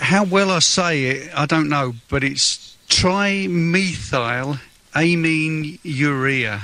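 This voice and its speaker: Speaking at a very slow pace, a man uses a fairly high pitch with ordinary pitch variation and very even loudness. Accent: London. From London (Fulham). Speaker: patient with rare condition. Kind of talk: radio interview.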